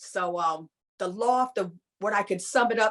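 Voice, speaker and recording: A woman with a New York accent, medium pitch and ordinary pitch variation, on a very clean recording with a silent background. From New York, Long Island (Hempstead). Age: 60s. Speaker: former club dancer. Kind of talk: interview reminiscence. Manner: casual, conversational with fillers.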